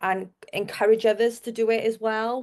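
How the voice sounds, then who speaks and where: A woman speaks with a Welsh accent. The background is quiet. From South Wales. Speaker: marketer. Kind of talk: podcast interview.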